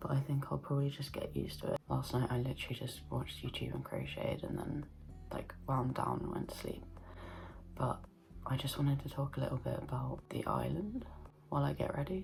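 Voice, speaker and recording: A woman whispers quietly at a fairly quick pace with music in the background. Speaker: vlogger. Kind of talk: casual vlog talk to camera. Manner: quiet, whispered.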